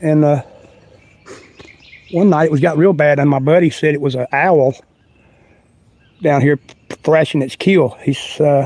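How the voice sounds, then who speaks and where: A man with a North Carolina accent, fairly high pitch, fairly even intonation and long, frequent pauses. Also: moderate pace. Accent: Southern US, North Carolina. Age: 60s. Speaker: outdoor vlogger. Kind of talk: casual livestream walk-and-talk. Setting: outdoors. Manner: halting.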